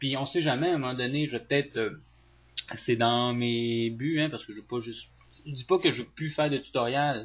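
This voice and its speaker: Against noticeable background noise, a man with a Saguenay accent speaks at a medium pitch with fairly even intonation. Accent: Saguenay Quebec French. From Quebec, Saguenay. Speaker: teacher and video game tutorial youtuber. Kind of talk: casual talk to viewers. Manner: hesitant, many fillers.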